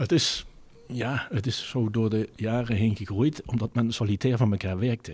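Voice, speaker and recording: In a Limburg accent, a man speaks at a medium pitch and moderate pace. His voice is somewhat breathy, with ordinary pitch variation. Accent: Limburg, soft g. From Netherlands, Venlo area (Limburg). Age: 50s. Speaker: retail company director. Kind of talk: interview.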